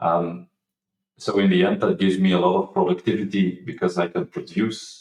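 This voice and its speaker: A man speaks at a moderate pace. He has a non-native accent. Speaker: marketing executive, former data engineer. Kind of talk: interview. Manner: halting, many fillers and repeats.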